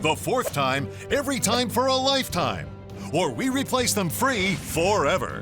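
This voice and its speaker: The pitch swings very widely throughout. Music plays in the background. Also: man. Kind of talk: TV commercial read.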